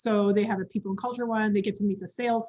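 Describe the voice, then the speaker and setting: Somewhat breathy, a woman's voice sits at a medium pitch with fairly even intonation. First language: not English. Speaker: communications company employee, guest speaker. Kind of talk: webinar interview.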